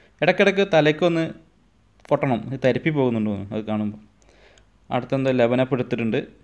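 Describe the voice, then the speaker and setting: Against a quiet background, a man with an ordinary speaking voice talks at a medium pitch, using lively intonation. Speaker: husband doing a comedic voiceover for his wife's makeup video. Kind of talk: humorous commentary voiceover over a video. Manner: playful, joking, teasing.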